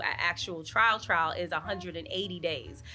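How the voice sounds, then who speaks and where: A bright, sharp tone with vocal fry and a New York accent. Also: woman. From Brooklyn, New York. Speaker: news reporter. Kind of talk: interview answer.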